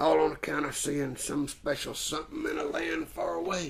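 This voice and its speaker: Over light background noise, a man uses a raspy, put-on character voice, fairly high in pitch, at a moderate pace. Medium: stage play. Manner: folksy, drawling, homespun.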